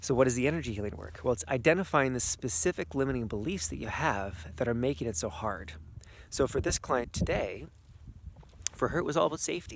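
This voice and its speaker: A man talks at a very fast pace in a medium-pitched voice with vocal fry, his pitch swinging very widely. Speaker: energy healer and coach. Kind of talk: outdoor vlog talk to camera. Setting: outdoors in snow.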